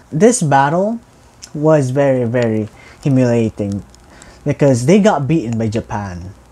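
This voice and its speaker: Noticeable background noise is present. The delivery is fairly slow. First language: not English. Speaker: history reaction youtuber. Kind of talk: casual reaction commentary.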